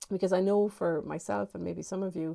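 A woman with an Irish accent has a dark, mellow, warm tone. She speaks at a moderate pace. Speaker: online business coach, podcast host. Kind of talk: solo podcast monologue, advice talk. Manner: conversational, warm, many filler words.

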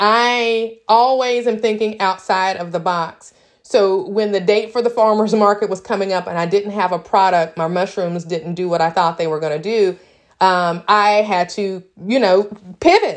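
A woman with a Tennessee accent speaks at a moderate pace, her medium-pitched voice showing ordinary pitch variation. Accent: Southern US (Tennessee). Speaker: small farmer and entrepreneur. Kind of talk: casual vlog monologue.

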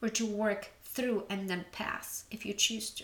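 The tone is bright and sharp. Delivery comes at a very slow pace. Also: woman. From Poland. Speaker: relationship coach. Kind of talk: solo podcast monologue.

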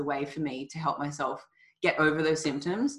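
Fairly quick in pace, a woman speaks with an Australian accent in a very deep, low pitch. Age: 30s. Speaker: nutrition coach. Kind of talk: casual chat.

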